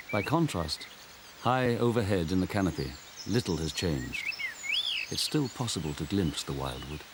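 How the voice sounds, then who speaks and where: A man with a very deep, low voice speaks at a moderate pace, his pitch swinging very widely between long, frequent pauses, over noticeable background noise. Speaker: narrator. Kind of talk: wildlife documentary narration.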